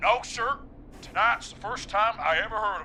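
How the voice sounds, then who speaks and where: A man puts on a drawling character voice at a high pitch, with ordinary pitch variation and a moderate pace. His loudness swings widely over clear background noise. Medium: video game. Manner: casual, drawling, says "man" a lot.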